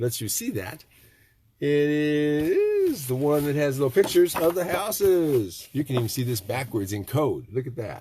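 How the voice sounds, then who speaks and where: A man with an American accent talks in a fairly high, somewhat breathy voice with lively intonation. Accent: Michigan nasal when talking fast. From Michigan. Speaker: tiny house builder. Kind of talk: casual live stream talk. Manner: rambling casual.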